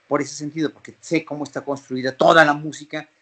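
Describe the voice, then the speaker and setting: Speaking at a moderate pace, a man talks with a Mexican accent. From Mexico City. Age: 50s. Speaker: flutist and orchestra conductor. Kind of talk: interview.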